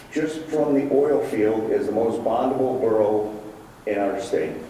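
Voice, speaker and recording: Noticeable background noise and audible room echo surround the recording. A man talks at a very slow pace with ordinary pitch variation. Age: 60s. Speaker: business owner giving public comment. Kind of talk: testimony. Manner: halting, many fillers.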